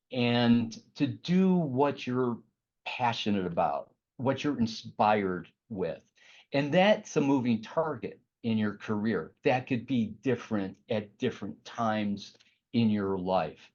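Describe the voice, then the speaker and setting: A man speaks at a very slow pace with a Chicago accent, his pitch medium. His intonation is lively, and the background is quiet. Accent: Midwest Chicago. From US Midwest, Chicago area. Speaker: art director and painter. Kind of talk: career talk to students. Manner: halting, many fillers.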